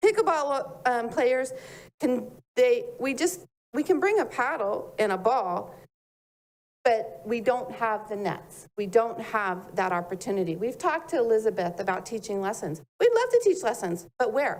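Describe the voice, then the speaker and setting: A woman speaks at a moderate pace in a fairly high voice. Her pitch swings very widely. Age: 60s. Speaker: public commenter. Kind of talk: public comment at city meeting.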